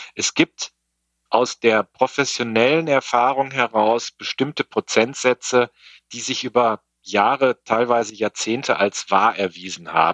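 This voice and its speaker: In an unremarkable speaking voice, a man talks at a medium pitch and a fairly slow pace with fairly even intonation, in a dry, close sound with no echo and a quiet background. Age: 50s. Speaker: logistics software sales executive. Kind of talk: podcast interview.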